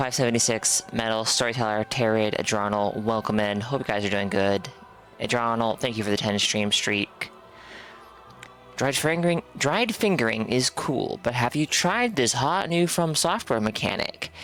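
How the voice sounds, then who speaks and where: Music plays behind a man speaking at a moderate pace and medium pitch. His intonation is lively, and his loudness stays very even. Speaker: video game streamer. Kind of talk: live stream chat. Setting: live stream. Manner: casual, hesitant with fillers.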